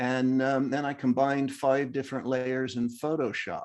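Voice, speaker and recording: An American accent against a quiet background. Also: man. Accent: American, noticeable to locals. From US, Northern Virginia. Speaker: amateur photographer, club member. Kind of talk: show and tell presentation. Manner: hesitant, many fillers.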